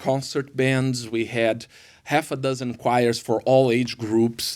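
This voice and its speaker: The speaker has a Brazilian Portuguese accent. The recording is very clean, with a silent background. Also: man. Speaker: worship pastor. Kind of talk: podcast interview. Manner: halting, many fillers.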